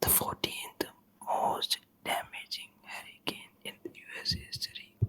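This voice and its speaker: A whisper moves at a fairly slow pace, with noticeable background noise behind it. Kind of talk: ASMR whispered news reading. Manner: whispered.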